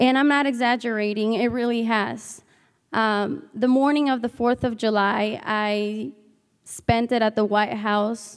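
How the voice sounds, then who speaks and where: With a Spanish accent, a woman talks at a fairly slow pace and fairly high pitch. Her intonation stays fairly even and her loudness very even. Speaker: student intern giving testimonial. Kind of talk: commencement testimonial speech. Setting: stage with audience.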